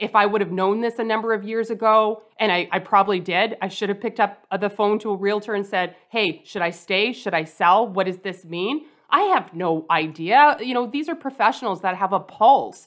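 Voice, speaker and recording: In a normal speaking voice, a woman with a Canadian accent talks at a moderate pace and medium pitch, with ordinary pitch variation and hardly any pauses. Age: 40s. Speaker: personal finance educator and author. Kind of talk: interview.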